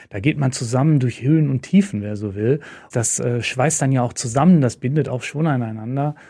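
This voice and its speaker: In a dark, mellow, somewhat breathy tone, the voice moves at a moderate pace on a very clean recording with a silent background. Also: man. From Lower Rhine, western Germany (Moers). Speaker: sponsor representative, former journalist. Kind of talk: casual interview.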